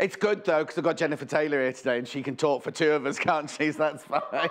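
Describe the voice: In a put-on character voice, a raspy man rattles along at a very fast pace and fairly high pitch over light background noise.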